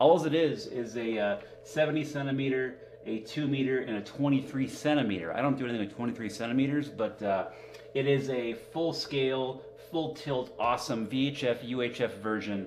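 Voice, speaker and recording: A man at a moderate pace, ordinary pitch variation, over light background noise. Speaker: amateur radio hobbyist streamer. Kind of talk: casual live stream chat. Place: home room.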